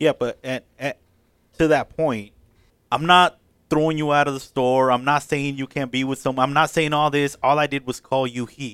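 A man's fairly high-pitched voice, monotone and flat, at a moderate pace, in a very clean recording with a silent background and a dry, close sound with no echo. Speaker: podcast panelist. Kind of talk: casual chat.

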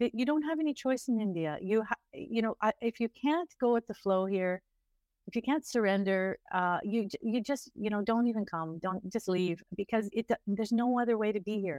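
Against a quiet background, a woman with a Canadian accent talks at a moderate pace and a fairly high pitch. She has an unremarkable speaking voice with lively intonation. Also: dry, close sound with no echo. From Canada (Ontario). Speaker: travel blogger and tour operator. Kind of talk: interview.

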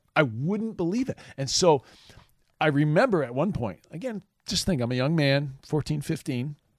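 With an American accent, a man uses a normal speaking voice pitched fairly high, his intonation lively at a moderate pace. The recording is very clean with a silent background. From northern Michigan. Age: 50s. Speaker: campus minister. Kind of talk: casual chat.

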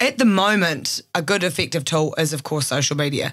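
A woman's fairly low voice with a New Zealand accent. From Christchurch, New Zealand. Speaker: podcast producer and journalist. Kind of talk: interview conversation.

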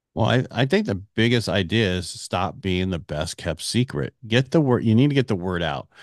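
A man at a moderate pace, fairly low in pitch with lively intonation, the sound dry and close with no echo over a quiet background. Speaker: mortgage CEO and radio host. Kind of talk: interview conversation. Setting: remote recording via online platform.

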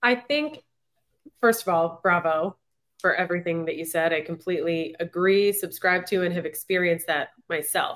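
In a normal speaking voice, a woman talks at a moderate pace. Her pitch is fairly low, with ordinary pitch variation. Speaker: podcast host. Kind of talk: interview conversation.

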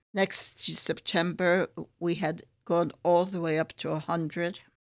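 Speaking very slowly in an American accent, a woman with a fairly low pitch holds a monotone, flat intonation. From US, New York and San Francisco area. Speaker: school founder. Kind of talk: interview. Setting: online recording from a school office. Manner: formal.

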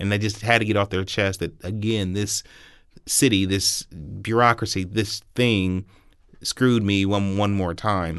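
A man talks at a fairly slow pace with an American accent. His intonation is fairly even, and the background is quiet. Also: fairly low pitch for a man. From Columbus, Ohio. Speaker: city council president. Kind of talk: interview.

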